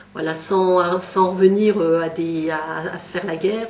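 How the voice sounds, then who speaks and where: A woman with a medium pitch talks against noticeable background noise. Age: 50s. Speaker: local election candidate. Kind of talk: candidate testimony. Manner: hesitant, many fillers.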